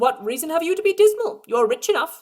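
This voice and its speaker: A woman does a squeaky put-on character voice at an extremely high pitch with very wide pitch swings. She talks at a very fast pace. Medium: read story. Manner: cheerful, warm.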